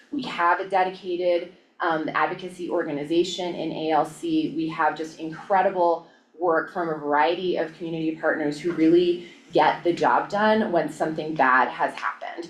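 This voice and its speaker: A fairly low-pitched woman's voice with fairly even intonation and noticeable background noise. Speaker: violence prevention presenter. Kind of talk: presentation at public meeting. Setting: county board work session. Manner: fast.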